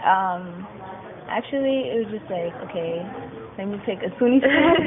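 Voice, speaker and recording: A woman at a medium pitch talks at a moderate pace, her pitch swinging very widely and her loudness shifting in big swings. Noticeable background noise runs behind her. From Jamaica. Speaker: university student. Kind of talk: interview. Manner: casual, uses 'like' a lot.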